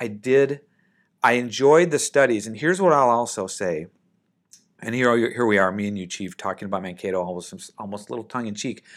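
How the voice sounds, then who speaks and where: This is a normal speaking voice with an American accent, delivered fairly quickly with lively intonation and big swings in loudness. The recording is very clean, with a silent background. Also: man. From Minnesota, US (Saint Paul). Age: 50s. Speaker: air force general and airline pilot. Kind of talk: interview.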